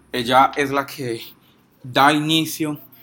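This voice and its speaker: Bright and sharp in tone, a man's voice holds a medium pitch. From Colombia, Pereira area. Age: 20s. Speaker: activist and law student. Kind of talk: informal talk. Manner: halting.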